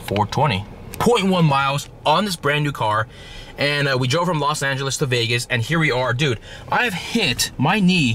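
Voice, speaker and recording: A man talks with lively intonation. The sound is dry with no echo, and there is light background noise. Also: fairly slow pace. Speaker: car vlogger. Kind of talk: casual vlog chat. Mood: joking, mildly annoyed. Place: car. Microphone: phone near.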